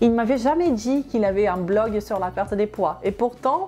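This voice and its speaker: With music in the background, a woman in a Portuguese accent talks at a moderate pace with lively intonation. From Brazil. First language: Portuguese (speaking French). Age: 30s. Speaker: health and weight-loss youtuber. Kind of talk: personal story to camera.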